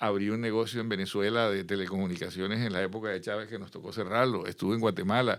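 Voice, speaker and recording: The speech runs at a very fast pace with hardly any pauses. Its intonation is monotone and flat. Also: man, fairly low pitch for a man. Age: 60s. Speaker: business executive and consultant. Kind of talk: interview conversation.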